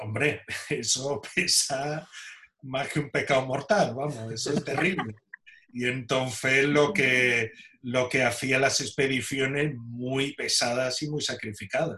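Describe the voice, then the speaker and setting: This man's pitch is medium and his intonation fairly even. He speaks at a very slow pace. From Spain, Seville (Andalusia). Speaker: archaeologist and caver. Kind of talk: interview.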